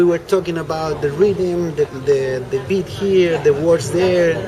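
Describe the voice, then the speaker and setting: A man's high voice with a Spanish accent, fairly slow, with ordinary pitch variation amid noticeable background noise. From Chile. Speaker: reggae musician. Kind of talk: interview. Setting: on camera. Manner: halting.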